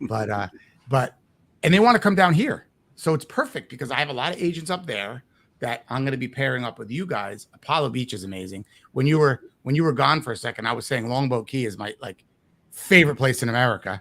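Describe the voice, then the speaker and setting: A man at medium pitch with a New Jersey accent, very fast and lively in intonation, on a very clean recording with a silent background. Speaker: real estate investing coach. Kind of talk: interview. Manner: animated.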